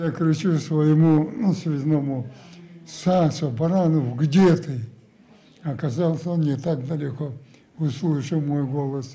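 A man's fairly high voice at a very slow pace, broken by long, frequent pauses. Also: fairly even intonation. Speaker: war veteran. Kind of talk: testimony. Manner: halting. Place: home room.

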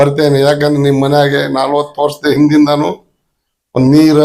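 A man with a fairly high pitch talks in a dark, mellow tone with monotone, flat intonation. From northern Karnataka, Hirekerur area. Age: 60s. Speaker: ginger trader. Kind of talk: casual interview, storytelling. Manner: blunt, direct.

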